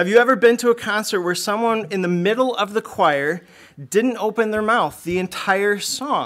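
The man talks at a moderate speed, and the background is quiet. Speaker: church member sharing reflection. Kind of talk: testimony. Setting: church. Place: church. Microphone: podium.

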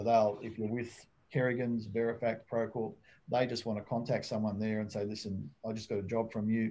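Here a man speaks with an Australian accent at a fairly quick pace. His tone is dark and mellow. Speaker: private investigator; guest. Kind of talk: casual interview and Q&A. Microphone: webcam.

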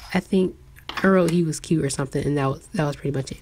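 With noticeable background noise behind her, a woman speaks at a very deep, low pitch. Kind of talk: casual journaling voice-over.

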